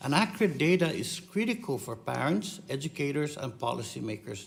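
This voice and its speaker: With a Guam accent, a man speaks at a moderate pace against noticeable background noise. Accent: Pacific Islander (Chamorro) English. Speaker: congressman questioning a witness at a hearing. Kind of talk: committee hearing questioning. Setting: congressional hearing room. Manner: insistent, interrupting.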